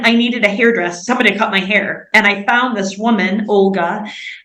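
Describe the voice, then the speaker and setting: A woman with an American accent talks at a fairly quick pace. Noticeable background noise and audible room echo fill the recording. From US Midwest, Indiana. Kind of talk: interview. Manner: casual, conversational.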